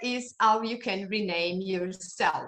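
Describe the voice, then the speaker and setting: A woman is speaking. Her pace is very slow. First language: not English. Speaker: online meeting moderator. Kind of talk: meeting announcements. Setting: Zoom video call. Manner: halting.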